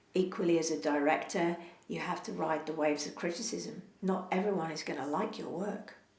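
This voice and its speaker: Fairly quick and fairly low in pitch, a woman speaks with ordinary pitch variation. Room echo is audible, along with noticeable background noise. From London (Hounslow, Middlesex). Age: 60s. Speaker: actor and theatre director. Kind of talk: interview. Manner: hesitant, many fillers.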